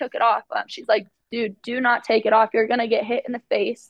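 A high-pitched woman with an American accent at a fairly quick pace. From Arizona. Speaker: college softball player. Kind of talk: interview.

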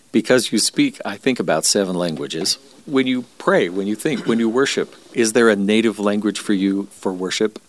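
A man's plain, everyday voice, fairly low in pitch, with ordinary pitch variation and a moderate pace. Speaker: radio host. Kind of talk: interview.

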